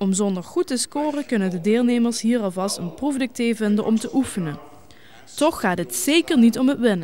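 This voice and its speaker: Over noticeable background noise, a woman with a fairly high pitch talks at a moderate pace with lively intonation. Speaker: TV news reporter. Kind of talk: regional TV news report.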